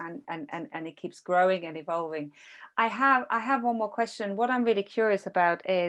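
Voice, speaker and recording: Speaking at a fairly quick pace, a woman with a medium-pitched voice uses lively intonation and big swings in loudness. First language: not English. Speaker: podcast interviewer. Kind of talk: interview. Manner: halting.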